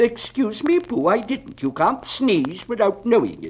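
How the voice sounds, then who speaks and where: Putting on a character voice, a man talks at a moderate pace with an extremely high pitch. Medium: read story. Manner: pompous, wordy.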